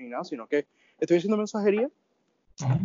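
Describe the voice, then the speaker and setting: A man is speaking. His intonation is lively. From Venezuela. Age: 20s. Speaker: audio engineering student and migrant. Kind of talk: casual interview chat. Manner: halting, many fillers.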